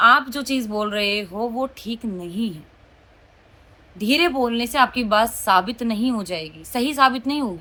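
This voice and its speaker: A woman talks with a bright, sharp tone and a fairly high pitch. Her intonation is lively and her tone animated. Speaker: vlogger. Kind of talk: casual vlog talk. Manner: loud.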